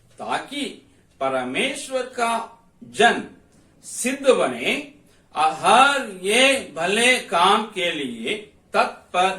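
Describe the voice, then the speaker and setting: A man with a Tamil accent speaks in a raised, projected voice that is high in pitch and swings very widely. Audible room echo surrounds him. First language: Tamil (speaking Hindi). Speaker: Bible teacher. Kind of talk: Bible study lecture.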